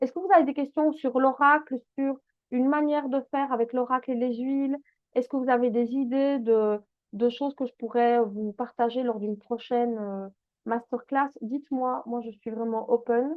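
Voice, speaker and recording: Speaking at a moderate pace with a Belgian accent, a woman uses a high pitch and big swings in loudness. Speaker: essential oils business coach. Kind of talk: online masterclass. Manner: animated.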